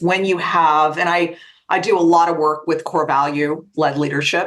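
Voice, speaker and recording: Fairly low for a woman, her pitch stays fairly even as she talks in a plain, everyday voice. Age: 60s. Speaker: life coach and author. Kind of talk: interview.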